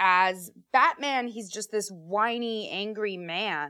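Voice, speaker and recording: Speaking at a very slow pace, a woman has a bright, sharp tone, a medium pitch, and ordinary pitch variation. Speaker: podcast host and actress.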